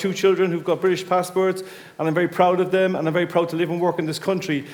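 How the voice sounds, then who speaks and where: A man speaks very fast in an Irish accent, his pitch high. Noticeable background noise runs behind him. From Ireland. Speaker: audience member. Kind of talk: heated debate.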